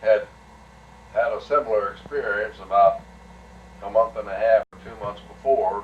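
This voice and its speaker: Very slow male speech amid noticeable background noise. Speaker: retired air force colonel, WWII bomber pilot. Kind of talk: personal war reminiscence.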